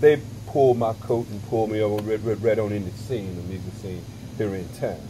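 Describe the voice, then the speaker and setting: A man with an American accent at a moderate pace, with ordinary pitch variation amid noticeable background noise. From US South, South Carolina. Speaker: jazz vibraphonist. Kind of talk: interview.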